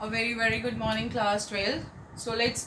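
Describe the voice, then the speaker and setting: A woman talks at a moderate pace against noticeable background noise. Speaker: teacher. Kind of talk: lecture. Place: home room. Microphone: phone near.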